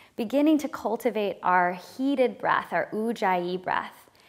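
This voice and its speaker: Against a quiet background, a woman speaks at a fairly slow pace in a calm, soothing tone with lively intonation. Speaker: yoga instructor. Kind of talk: guided yoga instruction, breath-cued flow. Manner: calm, soothing, slow breath-paced cues; gentle, reflective and encouraging. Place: studio.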